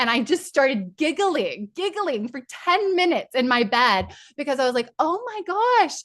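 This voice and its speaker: A woman speaks in an animated tone at a moderate pace. Her pitch swings very widely. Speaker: spiritual coach leading online workshop. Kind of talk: guided group session; casual chat.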